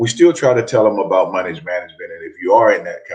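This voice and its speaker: A man talks at a fairly quick pace. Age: 60s. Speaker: former NFL player and athletic director. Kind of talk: interview. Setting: radio studio. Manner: halting, many repeated words.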